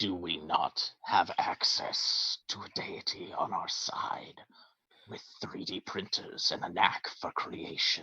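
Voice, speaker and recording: Whispering, a man does a put-on character voice at a fairly slow pace. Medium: actual play. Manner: formal, clipped.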